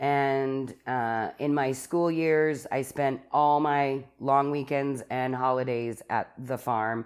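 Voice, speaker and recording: In a very clean recording with a silent background, a woman with an Albertan accent speaks at a very slow pace in a very deep, low pitch for a woman, with fairly even intonation. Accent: Canadian (Alberta). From Calgary, Alberta, Canada. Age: 40s. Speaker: recovering alcoholic sharing her story. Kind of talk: personal testimony in casual interview.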